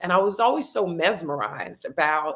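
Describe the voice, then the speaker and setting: A woman with a fairly low pitch and ordinary pitch variation speaks in an animated, passionate tone. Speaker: podcast host and communications consultant. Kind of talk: podcast interview conversation.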